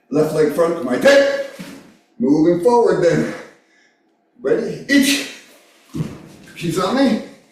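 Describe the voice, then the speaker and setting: Very slowly, a man speaks with very wide pitch swings. Audible echo fills the room. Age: 60s. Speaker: karate instructor. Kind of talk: class instruction.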